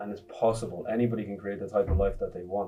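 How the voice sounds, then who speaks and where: A man with an Irish accent, fairly low in pitch and flat and monotone, over background music. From Ireland (raised from age 8, born in Congo). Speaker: entrepreneur and motivational speaker. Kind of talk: interview answer.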